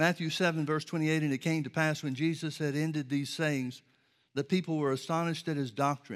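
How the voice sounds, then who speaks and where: With an American accent, a man uses an unremarkable speaking voice, fairly high in pitch and fairly even in intonation. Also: very clean recording, silent background. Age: 60s. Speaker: preacher. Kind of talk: sermon. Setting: church.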